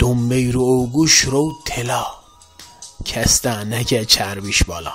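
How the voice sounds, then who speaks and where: Music plays in the background as a man talks at a very slow pace. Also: medium pitch for a man, ordinary pitch variation. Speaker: poetry reciter. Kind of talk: poetry reading.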